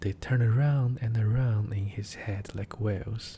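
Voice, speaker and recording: A man with a Chinese accent talks fairly slowly at a fairly low pitch, his dark, mellow tone somewhat breathy. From China. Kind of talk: fairy tale reading.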